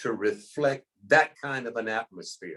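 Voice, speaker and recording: Bright and sharp in tone, the voice carries an American accent. It moves at a fairly slow pace. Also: man. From Trenton, New Jersey. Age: 70s. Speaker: retired school principal. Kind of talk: casual chat. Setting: video call.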